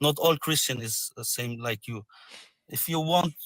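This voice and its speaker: A man with a non-native accent speaks at a fairly high pitch. His voice sounds dry and close, with no echo. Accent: foreign, non-native English. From Syria. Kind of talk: religious debate. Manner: halting, many fillers; polite, friendly.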